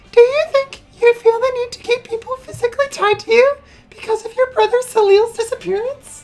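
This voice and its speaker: Putting on a character voice, a woman speaks at an extremely high pitch, breathy and at a fairly quick pace. Music plays in the background. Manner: breezy, pseudo-therapeutic.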